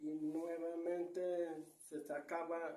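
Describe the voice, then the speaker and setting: A man speaks in a monotone, flat way at a fairly high pitch, with a dark, mellow tone. Room echo is audible. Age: 70s. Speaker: grandfather interviewed about local traditions. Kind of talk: oral storytelling. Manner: halting.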